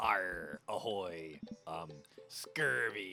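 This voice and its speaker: A man puts on a character voice that is raspy and fairly low in pitch. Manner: playful, theatrical.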